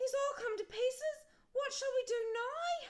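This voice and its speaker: Squeaky and extremely high, the put-on character voice moves at a moderate pace. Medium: read story.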